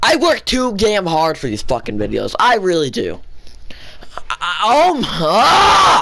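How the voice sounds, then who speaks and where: Noticeable background noise sits behind the recording. A man speaks at a very slow pace. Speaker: gaming YouTuber. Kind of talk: angry rant, furious venting. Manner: shouting, explosive, swearing; frantic, repeating and stammering.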